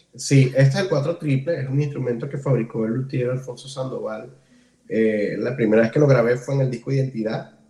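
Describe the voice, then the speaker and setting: Somewhat breathy, a man speaks at a fairly quick pace in a medium pitch. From Venezuela, Ciudad Guayana. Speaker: cuatro musician. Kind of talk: casual interview. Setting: host's home.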